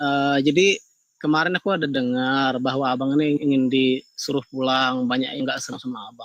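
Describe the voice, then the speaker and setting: A man with a Kalimantan accent at medium pitch, fairly quick in pace, with fairly even intonation. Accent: Kalimantan Indonesian. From Kalimantan, Indonesia. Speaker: caller. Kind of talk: live call-in discussion.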